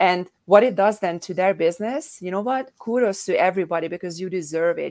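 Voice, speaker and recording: A woman speaks with a European accent at a medium pitch. She keeps a fairly quick pace. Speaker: co-author and publisher. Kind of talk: panel discussion at online book launch.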